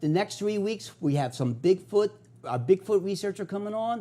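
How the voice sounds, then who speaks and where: With a Philadelphia accent, a man talks at a fairly quick pace in a dark, mellow tone. His pitch swings very widely. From US Northeast, South Philadelphia. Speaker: TV host, paranormal investigator. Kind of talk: TV show monologue. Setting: TV studio.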